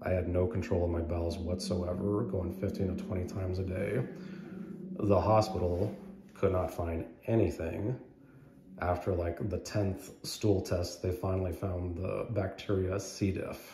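With a very deep, low pitch, a man talks at a fairly slow pace and fairly even intonation, with audible room echo and light background noise. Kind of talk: casual personal story. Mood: earnest, recounting an illness. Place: hall. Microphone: phone near.

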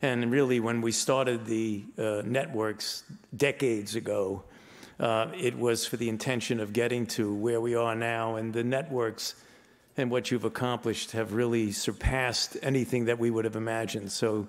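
A man delivers his words in a flat monotone, with a quiet background behind him. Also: moderate pace. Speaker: conference presenter. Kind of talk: speech to conference audience. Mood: warm, humorous. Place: hall. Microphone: podium.

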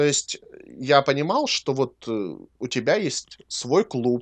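The voice is an ordinary speaking voice with lively intonation. The sound is dry and close with no echo, on a very clean recording with a silent background. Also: man. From Ukraine. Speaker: podcast co-host and cosmetics maker. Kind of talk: casual chat.

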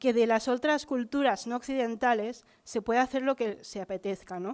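Fairly high in pitch, a woman with a plain, everyday voice speaks at a fairly slow pace. Her intonation is fairly even, and the background is quiet. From Barcelona, Catalonia. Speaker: teacher training student. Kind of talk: conference talk. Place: hall. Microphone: podium.

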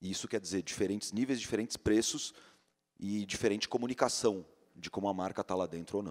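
Over a quiet background, a man talks fairly quickly in a fairly low voice with ordinary pitch variation. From Brazil. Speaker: magazine editor-in-chief; panelist. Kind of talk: panel talk. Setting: stage with audience. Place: stage. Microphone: handheld.

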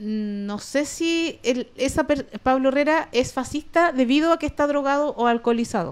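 A woman's high-pitched, animated voice with a Chilean accent, at a moderate pace with ordinary pitch variation and hardly any pauses. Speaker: comedian and online show host; comedian, online show host. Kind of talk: casual chat. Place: home room. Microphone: studio mic.

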